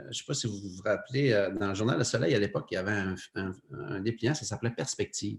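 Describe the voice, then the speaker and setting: Somewhat breathy, a man talks at a very fast pace with a fairly low pitch and ordinary pitch variation. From Quebec, Lac-Saint-Jean (Saguenay region). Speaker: photographer and TV cameraman. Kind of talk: casual interview chat. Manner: hesitant, many fillers.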